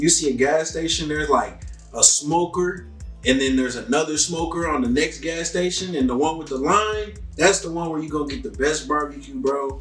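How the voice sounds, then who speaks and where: A man with an American accent, audible room echo and music in the background. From Texas, Fort Worth area. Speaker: rapper. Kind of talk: interview. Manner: casual.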